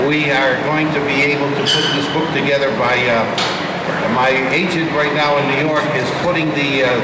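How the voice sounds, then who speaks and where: A man is speaking. Loud background noise sits behind him. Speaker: radio guest. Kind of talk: interview answer. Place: hall.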